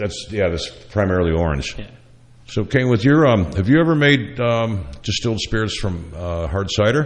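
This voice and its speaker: A man talks at a moderate pace in a fairly low voice. His pitch swings very widely. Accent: American. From upstate New York. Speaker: chef and radio host. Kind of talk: casual chat.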